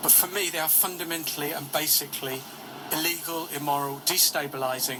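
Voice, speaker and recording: A man's fairly high voice moves at a fairly quick pace with fairly even intonation over noticeable background noise. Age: 60s. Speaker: peace campaigner. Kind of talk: radio interview.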